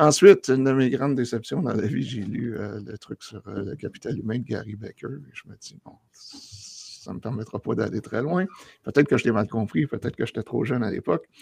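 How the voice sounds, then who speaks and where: In a Quebec accent, the speaker moves at a fairly quick pace with lively intonation and big swings in loudness, the sound dry and close with no echo. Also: man, medium pitch for a man. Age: 50s. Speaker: geographer, academic. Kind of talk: casual interview chat.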